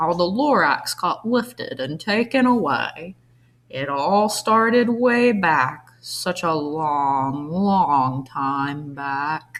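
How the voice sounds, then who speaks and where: Putting on a nasal character voice, a woman speaks very slowly at a fairly low pitch with very wide pitch swings. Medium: read story.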